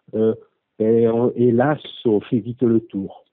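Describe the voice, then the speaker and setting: The speaker is a man. He talks at a medium pitch. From southwest France, western Gironde. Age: 50s. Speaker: hiker, course participant. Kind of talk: interview. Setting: audio interview. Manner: halting, many hesitations.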